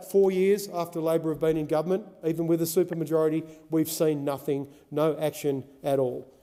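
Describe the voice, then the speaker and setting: A man with an Australian accent, fairly high pitch, fairly even intonation and a moderate pace. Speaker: senator. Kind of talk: parliamentary speech.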